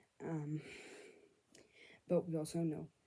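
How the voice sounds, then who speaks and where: A woman's very deep, low voice, somewhat breathy, dark and mellow in tone, at a fairly slow pace. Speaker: book vlogger. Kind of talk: casual vlog, book recap. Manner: speaking quietly.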